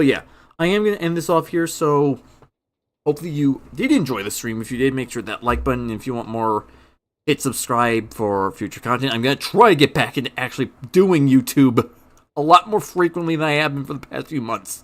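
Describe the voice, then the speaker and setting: A man with a normal speaking voice talks at a fairly quick pace, fairly high in pitch, with lively intonation. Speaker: gaming streamer. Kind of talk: live stream commentary. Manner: casual.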